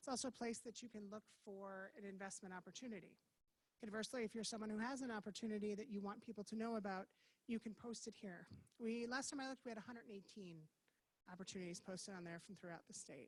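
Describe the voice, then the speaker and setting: Very fast and somewhat breathy, a woman speaks at a fairly high pitch. Her pitch varies in an ordinary way. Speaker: forum moderator. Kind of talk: public presentation.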